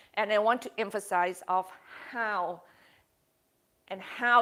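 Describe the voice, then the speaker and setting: On a very clean recording with a silent background, a woman speaks at a fairly high pitch with a bright, sharp tone and fairly even intonation. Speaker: yoga teacher. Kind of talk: yoga class talk.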